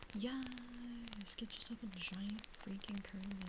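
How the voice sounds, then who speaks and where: Soft-spoken, a woman talks at a medium pitch with fairly even intonation. Noticeable background noise sits behind her. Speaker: VTuber streamer. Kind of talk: live stream chat with viewers, ASMR. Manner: soft-spoken, chatty, comfy.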